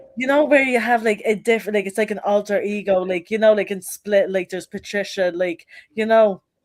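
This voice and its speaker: A woman with a Dublin accent, at a fairly quick pace and with fairly even intonation. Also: medium pitch for a woman. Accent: Dublin Irish. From Ireland, Dublin (Finglas). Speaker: rapper. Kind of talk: casual interview. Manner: casual, heavy use of like.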